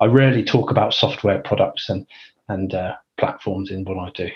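A man with a London accent speaks at a fairly quick pace in a somewhat breathy voice with fairly low pitch. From England (Northwest London). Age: 40s. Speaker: chief data officer. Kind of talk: interview.

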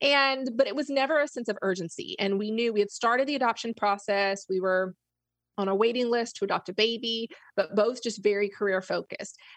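Against a quiet background, a woman speaks with an American accent in a plain, everyday voice. Her pitch is fairly high, with ordinary pitch variation. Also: fairly quick pace. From Florida. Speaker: business coach. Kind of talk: interview.

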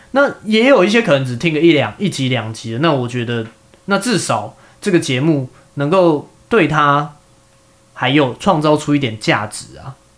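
A man with a plain, everyday voice talks at a fairly high pitch and a moderate pace, his intonation lively. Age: 30s. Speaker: podcast host. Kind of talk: casual chat.

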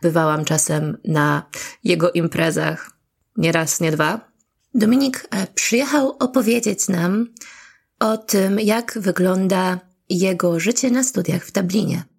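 Speaking at a very slow pace, a woman uses a medium pitch and lively intonation with very even loudness. The recording is very clean, with a silent background. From Poland, Gdańsk. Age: 30s. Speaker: podcast host. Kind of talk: personal monologue.

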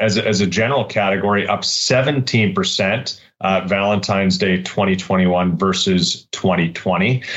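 In an ordinary speaking voice, a man with a fairly low pitch speaks at a fairly slow pace with hardly any pauses, fairly even intonation and very even loudness. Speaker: business development director. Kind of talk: interview about sales figures.

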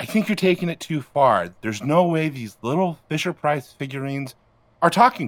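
A man talks at a moderate pace in an ordinary speaking voice. His intonation is lively. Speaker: comedy podcast cast member. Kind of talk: casual chat.

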